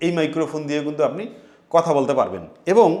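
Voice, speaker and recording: This is a man speaking at a fairly high pitch. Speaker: tech reviewer. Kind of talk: tutorial.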